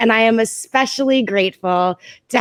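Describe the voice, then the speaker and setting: A plain, everyday voice with ordinary pitch variation comes through with a dry, close sound, no echo and a quiet background. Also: woman. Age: 30s. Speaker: live stream host. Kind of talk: casual chat.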